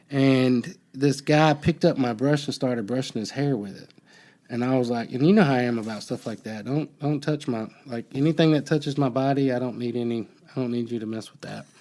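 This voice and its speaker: Fairly quick and with an American accent, a man speaks in a medium pitch with a dark, mellow tone, ordinary pitch variation and big swings in loudness. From US South, Alabama. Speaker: podcast host, former prisoner. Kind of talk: casual chat. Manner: halting.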